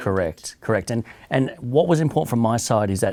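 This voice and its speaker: Over a silent background in a very clean recording, a man with an Australian accent talks at a very fast pace, his medium-pitched voice dark and mellow in tone. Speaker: business executive. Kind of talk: interview answer. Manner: soft-spoken.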